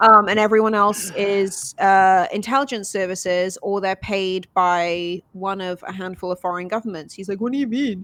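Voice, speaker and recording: A woman with a British accent talks with hardly any pauses. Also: medium pitch for a woman, moderate pace, very clean recording, silent background. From Wales. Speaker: writer and TV journalist. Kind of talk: casual chat. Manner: animated.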